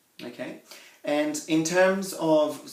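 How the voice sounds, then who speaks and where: There is noticeable background noise. Over it, a man speaks with a fairly high pitch. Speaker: interviewer. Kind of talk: interview questions.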